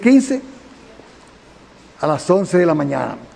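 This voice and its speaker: Against noticeable background noise, a man with a Dominican accent speaks at a moderate pace in a high pitch. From Dominican Republic, Santiago. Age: 70s. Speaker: engineer, defendant in court hearing. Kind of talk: court testimony. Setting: courtroom hearing.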